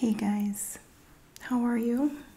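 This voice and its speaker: Soft-spoken, the speaker talks at a very slow pace. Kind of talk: ASMR magazine reading.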